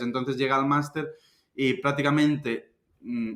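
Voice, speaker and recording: In a Galician accent, a man speaks at a medium pitch with fairly even intonation. His tone is bright and sharp. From Galicia, Spain (A Coruña). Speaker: investment fund manager. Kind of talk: interview. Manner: casual, conversational.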